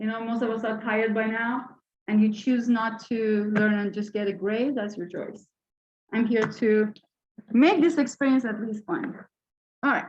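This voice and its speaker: A woman with a fairly high pitch speaks at a moderate pace with fairly even intonation, leaving long, frequent pauses. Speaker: university lecturer. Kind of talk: lecture. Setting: classroom with mic. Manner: loud.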